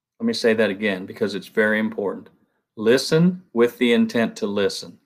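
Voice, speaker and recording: This man has a Southern US accent and ordinary pitch variation. He talks at a fairly quick pace. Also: medium pitch for a man, very clean recording, silent background. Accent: Southern twang. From Ohio. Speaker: construction product rep. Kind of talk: conference panel talk.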